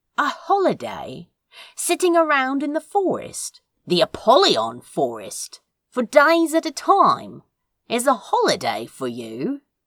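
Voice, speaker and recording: In a high-pitched, put-on character voice, the speaker talks at a fairly slow pace. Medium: read story. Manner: dry, sarcastic.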